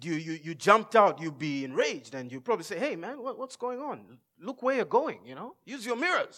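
A man speaks in a raised, projected voice at a fairly quick pace, his pitch high for a man with very wide swings. His tone is bright and sharp, and his loudness rises and falls a great deal. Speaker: pastor. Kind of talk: sermon. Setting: church stage with congregation.

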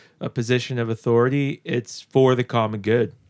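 Recorded very cleanly against a silent background, a man speaks at a moderate pace. He has an unremarkable speaking voice and a medium pitch. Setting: in-person studio.

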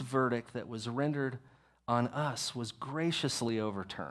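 Medium in pitch for a man, his speech moves at a moderate speed with ordinary rises and falls. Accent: Texan. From Texas. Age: 40s. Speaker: pastor. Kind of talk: sermon. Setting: church.

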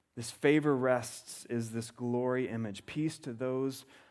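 At a fairly slow pace, a man with an American accent speaks in a medium pitch and fairly even intonation, with audible room echo. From US South. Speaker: pastor. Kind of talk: sermon.

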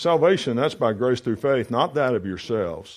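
A man speaks fairly quickly with a quiet background behind him. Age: 40s. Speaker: pastor. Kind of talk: sermon. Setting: church. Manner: halting.

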